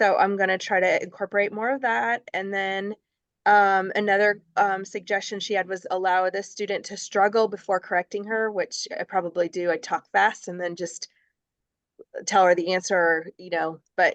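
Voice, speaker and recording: A woman uses an ordinary speaking voice at a medium pitch and moderate pace, with fairly even intonation. The sound is dry and close with no echo, over a quiet background. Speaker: student teacher. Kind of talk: casual chat.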